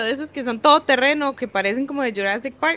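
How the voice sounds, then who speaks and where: A woman with ordinary pitch variation. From Costa Rica, Guanacaste. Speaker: bitcoin marketing and PR professional. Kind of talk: casual interview. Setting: in person in El Salvador.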